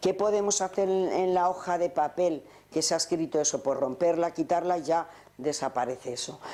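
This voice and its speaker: A woman talks at a moderate pace in a dark, mellow tone. Her pitch is fairly low, with ordinary variation. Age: 60s. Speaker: relaxation and regression therapist. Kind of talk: conference talk. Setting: conference with audience.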